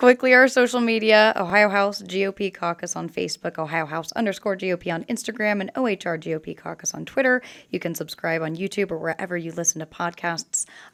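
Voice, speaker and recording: Putting on a character voice, a woman speaks very fast at medium pitch, raspy, in a dry, close sound with no echo. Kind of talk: podcast sign-off. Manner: very fast, rattling off.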